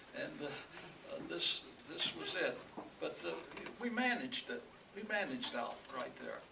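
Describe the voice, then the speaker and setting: Over noticeable background noise and audible room echo, a man with an American accent talks at a fairly slow pace, leaving long, frequent pauses. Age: 80s+. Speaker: elderly interviewee sharing life memories. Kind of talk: oral history interview. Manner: halting, with many fillers and repetitions.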